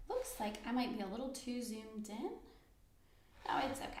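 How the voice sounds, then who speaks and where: Soft-spoken and at a moderate pace, a woman talks in a room with audible echo. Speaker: software trainer. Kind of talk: tutorial. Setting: live online class. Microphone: too quiet for some listeners.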